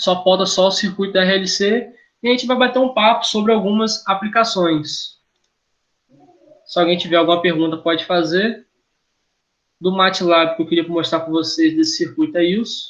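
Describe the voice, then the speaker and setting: Speaking in a high-pitched voice, a man leaves long, frequent pauses. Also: lively intonation, moderate pace. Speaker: engineering lecturer. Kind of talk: lecture. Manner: halting, self-correcting.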